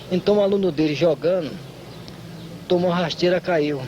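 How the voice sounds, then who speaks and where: A man with a high voice talks at a fairly quick pace with ordinary pitch variation over noticeable background noise. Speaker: capoeira master. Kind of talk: interview.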